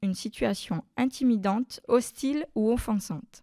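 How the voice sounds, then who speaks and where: In a very clean recording with a silent background and a dry, close sound with no echo, a woman's fairly high voice carries a dark, mellow tone and ordinary pitch variation. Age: 40s. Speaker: childcare worker sharing testimony. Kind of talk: testimony.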